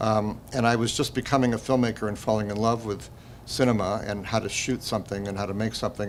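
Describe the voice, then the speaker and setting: Intonation is fairly even. The delivery is very fast. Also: man. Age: 70s. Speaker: documentary filmmaker, former river guide. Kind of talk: festival interview. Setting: film festival interview. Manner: halting.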